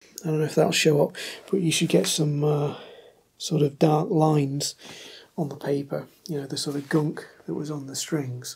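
The pace is moderate. The voice is quiet. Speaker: guitar tutorial youtuber. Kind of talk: tutorial. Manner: quiet, keeping voice down; hesitant with fillers. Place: home room. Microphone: camera far.

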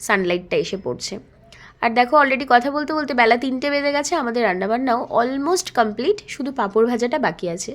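Lively intonation from a high-pitched woman. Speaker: vlogger. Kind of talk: travel vlog narration. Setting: outdoors. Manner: casual, chatty.

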